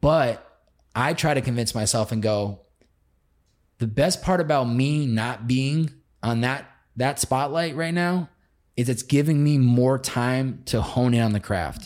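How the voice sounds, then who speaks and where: Recorded very cleanly against a silent background, a man speaks at a fairly slow pace with a medium pitch, ordinary pitch variation and long, frequent pauses. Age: 20s. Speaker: podcast host and agency worker. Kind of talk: casual chat. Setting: studio, in person.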